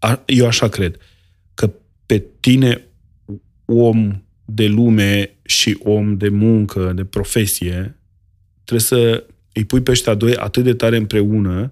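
Slowly and with long, frequent pauses, a man speaks at a fairly low pitch in a monotone, flat intonation. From rural Romania. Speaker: grocer and restaurateur. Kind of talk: casual chat.

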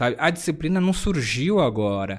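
A man speaks with very wide pitch swings. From São Paulo, Zona Leste (Sapopemba). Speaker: UX design consultancy CEO and association president. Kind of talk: casual chat. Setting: live-streamed podcast.

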